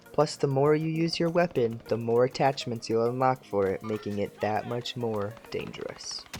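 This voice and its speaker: With music in the background, the speech moves at a moderate pace with hardly any pauses. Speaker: gaming tutorial creator. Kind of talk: scripted tutorial narration.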